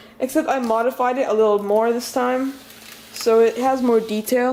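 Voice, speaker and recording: Noticeable background noise behind a woman's fairly high-pitched voice with fairly even intonation. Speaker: toy building hobbyist video maker. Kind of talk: casual show-and-tell tutorial. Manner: hesitant, many fillers and restarts.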